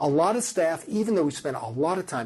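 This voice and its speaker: A man with a high-pitched voice. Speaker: research professor. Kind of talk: lecture. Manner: halting.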